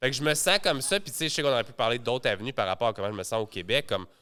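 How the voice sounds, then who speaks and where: Speaking very fast with a strong Quebec accent, a man uses lively intonation at medium pitch and a bright, sharp tone. The recording is very clean, and the background is silent. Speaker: entrepreneur. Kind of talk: podcast interview.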